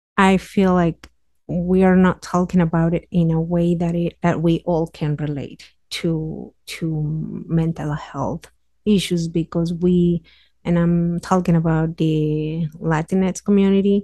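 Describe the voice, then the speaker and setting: A woman with a Mexican accent at a very slow pace, fairly low in pitch and dark, mellow in tone, with fairly even intonation and a dry, close sound with no echo against a quiet background. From Mexico City area, Mexico. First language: Spanish. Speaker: community health worker. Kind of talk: casual interview. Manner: frequent laughter, hesitant fillers.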